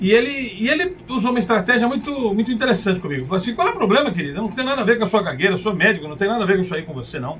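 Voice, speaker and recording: A man's high voice at a very fast pace with hardly any pauses and very wide pitch swings, amid noticeable background noise. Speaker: motivational speaker. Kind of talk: personal storytelling monologue. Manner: occasional hesitations and restarts.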